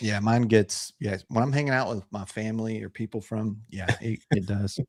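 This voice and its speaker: A man with a slight Texas accent, fairly low in pitch, at a moderate pace with fairly even intonation and a dry, close sound without echo. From Texas, Houston area. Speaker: whiskey channel co-host. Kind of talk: casual chat. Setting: live stream.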